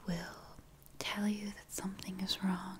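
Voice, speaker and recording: A whisper in a calm tone. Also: woman. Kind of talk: role-play consultation. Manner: soft, calm ASMR speaking voice. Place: home room.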